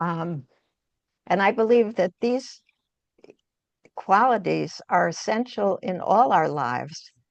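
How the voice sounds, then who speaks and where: The speaker talks very slowly in an American accent, with vocal fry and long, frequent pauses. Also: woman, medium pitch for a woman, lively intonation. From US Northeast, New York City suburbs. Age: 80s+. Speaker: art therapist. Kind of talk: webinar talk.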